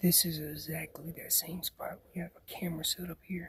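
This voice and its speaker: Someone whispers at a moderate pace. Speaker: hunting guide. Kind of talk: outdoor tutorial. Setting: outdoors. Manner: whispering.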